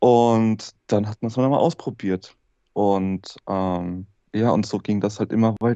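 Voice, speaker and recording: A man with a fairly low pitch speaks with fairly even intonation. The background is quiet. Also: dry sound with no echo. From Hesse, Germany. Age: 30s. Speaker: former drug user telling his story; interview guest. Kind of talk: interview testimony. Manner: halting. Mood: subdued, reflective. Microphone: video call.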